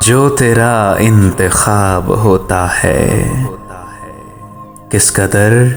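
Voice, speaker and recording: Music plays behind a man's voice. His pitch is fairly low, with ordinary variation. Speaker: radio jockey, voice-over artist. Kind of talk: poetry reading. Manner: emotional, sad.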